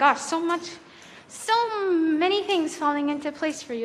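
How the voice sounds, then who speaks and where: Noticeable background noise sits under a woman's moderately paced speech. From Canada. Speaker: livestreamer. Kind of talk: casual chat.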